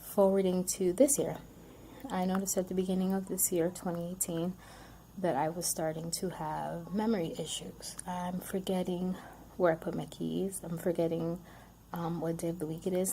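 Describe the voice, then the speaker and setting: The voice is somewhat breathy, with a dark, mellow tone. Its intonation is fairly even. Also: woman. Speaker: vlogger sharing health experience. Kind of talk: casual personal testimony to camera. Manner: stuttering, word-finding pauses; hesitant, many fillers.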